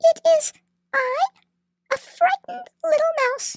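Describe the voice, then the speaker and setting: An extremely high-pitched put-on character voice, fairly slow, with very wide pitch swings. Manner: fearful, self-pitying.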